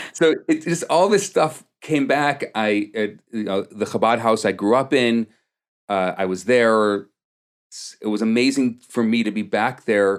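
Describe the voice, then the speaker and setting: On a very clean recording with a silent background, a man with a Chicago-area accent speaks fairly slowly at medium pitch with ordinary pitch variation. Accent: Chicago-area American English. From US Midwest, Chicago suburbs (Des Plaines, Illinois). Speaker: rabbi / community leader. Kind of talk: podcast interview. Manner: halting, many fillers and repetitions.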